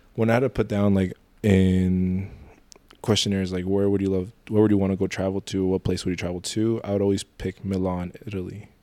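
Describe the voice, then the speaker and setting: The man speaks at a fairly quick pace. His intonation is monotone and flat. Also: fairly low pitch for a man. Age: 20s. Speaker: model and photographer. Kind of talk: casual chat. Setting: studio.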